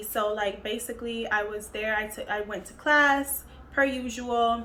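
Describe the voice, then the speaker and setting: The speech moves at a fairly slow pace in a bright, sharp tone, with fairly even intonation and big swings in loudness. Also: woman, fairly high pitch for a woman. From Cuban-American, United States. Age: 20s. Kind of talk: casual storytime talk to camera.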